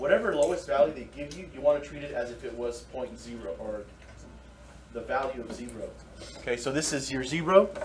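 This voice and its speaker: A man speaks with long, frequent pauses and big swings in loudness. Noticeable background noise sits behind him. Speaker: math teacher. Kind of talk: lecture. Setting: classroom.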